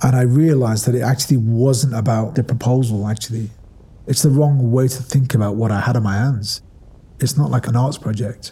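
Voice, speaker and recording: With a Manchester accent, a man speaks fairly quickly at a medium pitch, his somewhat breathy voice dark and mellow in tone, with fairly even intonation. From northern England, Ashton-under-Lyne, Greater Manchester. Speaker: arts director. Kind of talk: personal testimony. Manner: reflective, conversational.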